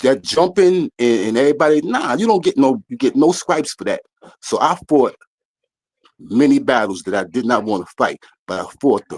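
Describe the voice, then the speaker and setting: Recorded with a dry, close sound and no echo, a man talks at a moderate pace in a fairly high pitch, with vocal fry and very wide pitch swings. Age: 60s. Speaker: caller. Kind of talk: heated debate. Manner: loud, talks over host.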